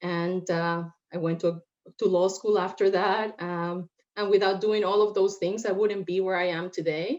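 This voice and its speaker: A woman with a Spanish accent talks at a moderate pace in a medium-pitched voice. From Puerto Rico. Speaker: lawyer. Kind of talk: panel discussion.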